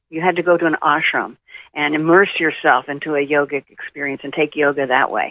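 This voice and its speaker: At a fairly quick pace, a woman talks in an American accent. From Oklahoma, US. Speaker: spiritual advisor. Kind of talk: interview.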